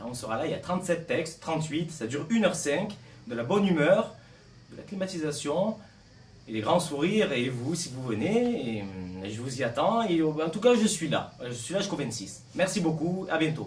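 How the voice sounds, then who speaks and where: A man with a southern French accent speaks at a moderate pace and a fairly high pitch with very wide swings, amid audible room echo and noticeable background noise. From southern France, Martigues (Provence). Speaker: actor. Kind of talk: interview. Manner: hesitant, many fillers.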